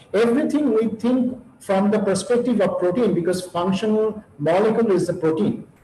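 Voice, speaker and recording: Amid noticeable background noise and audible room echo, a man with a high pitch speaks at a moderate pace, his pitch varying in an ordinary way and his loudness very even. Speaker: university professor. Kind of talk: lecture. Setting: webinar. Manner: halting.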